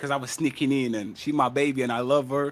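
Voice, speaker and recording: In a non-native accent, a man talks at a fairly quick pace with an animated tone. His pitch is fairly high. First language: not English. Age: 30s. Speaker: podcast panel host. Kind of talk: heated debate.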